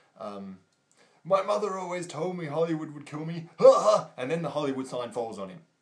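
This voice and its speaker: A man speaks over noticeable background noise. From Australia. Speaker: film reviewer. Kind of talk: video review monologue. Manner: animated.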